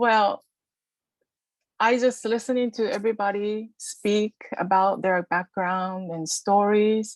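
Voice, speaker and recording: With a Japanese accent, a woman speaks at a very slow pace in a medium pitch with fairly even intonation and long, frequent pauses, the sound dry and close with no echo. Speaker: workshop participant. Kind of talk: casual chat. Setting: video call. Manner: halting.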